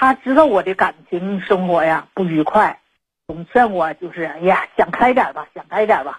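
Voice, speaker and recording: Somewhat breathy and medium in pitch, a woman speaks with lively intonation. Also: moderate pace. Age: 50s. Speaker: caller, domestic worker. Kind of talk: personal confession on call-in show. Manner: halting, many fillers.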